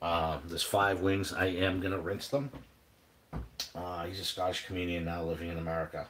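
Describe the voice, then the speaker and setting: Fairly quick and fairly even in intonation, a man speaks with a New England accent. His voice is very deep and low. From New England, Boston area. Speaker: cooking vlogger. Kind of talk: live stream cooking chat. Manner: casual, halting with fillers.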